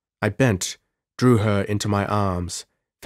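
Heard against a quiet background is an unforced reading voice.

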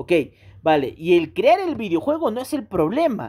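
A man speaks at a moderate pace in an animated tone, with very wide pitch swings. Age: 30s. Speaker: gaming YouTuber. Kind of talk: commentary rant video.

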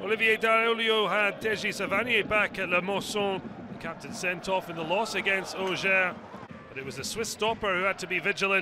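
A man with a high pitch raises and projects his voice. He keeps a moderate pace amid noticeable background noise. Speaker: football highlights commentator. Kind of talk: scripted highlights voice-over narration, post-match recap read over match footage. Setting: studio voice-over. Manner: brisk, punchy clipped phrasing, dropping verbs like a headline; rising excitement at late drama and goals.

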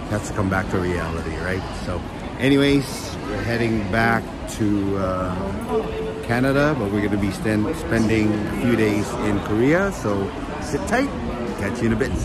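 Music plays in the background while a man speaks at a fairly slow pace with ordinary pitch variation, in a dry sound with no echo. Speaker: travel vlogger. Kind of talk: casual vlog chat. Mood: cheerful, a bit wistful. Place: station. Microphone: phone near.

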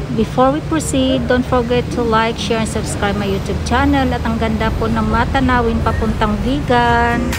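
Music behind a woman's moderately paced speech. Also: hardly any pauses. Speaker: travel vlogger. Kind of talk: casual vlog chat. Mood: cheerful, excited.

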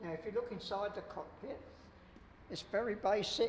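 Against light background noise and audible room echo, a man talks at a high pitch. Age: 80s+. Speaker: war veteran, museum guide. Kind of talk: museum tour guide talk. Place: hall. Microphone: lapel.

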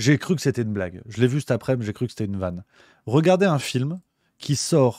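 In a dry sound with no echo and a quiet background, a man talks at a fairly quick pace with lively intonation and a dark, mellow tone. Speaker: political commentator / streamer; political commentator streamer. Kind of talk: book review on a live stream. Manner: casual, joking. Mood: ironic, sceptical. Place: home room. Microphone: studio mic.

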